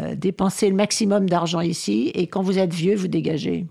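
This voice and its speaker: Against a silent background in a very clean recording, a woman speaks at a fairly slow pace with a fairly low pitch, a dark, mellow tone and vocal fry. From rural France. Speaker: housing rights activist. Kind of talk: radio interview.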